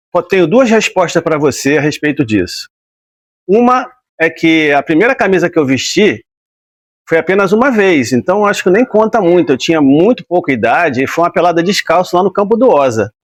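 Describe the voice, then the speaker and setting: In a relaxed tone, a man with a high pitch speaks at a moderate pace, his voice making very wide pitch swings at a very even loudness, recorded dry and close with no echo. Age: 60s. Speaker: retired footballer. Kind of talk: interview. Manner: relaxed conversational.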